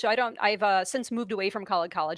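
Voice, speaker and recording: Very fast and fairly high-pitched, a woman talks with an American accent. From New York. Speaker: reptile keeper and former geology teacher. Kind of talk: live stream Q&A. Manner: halting.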